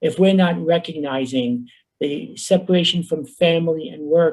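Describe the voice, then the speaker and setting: The speaker has a New York accent. Pitch varies in an ordinary way. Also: man. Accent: New York Bronx. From New York, the Bronx. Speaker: professor, workshop presenter. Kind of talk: conference workshop presentation. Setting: virtual conference, video call.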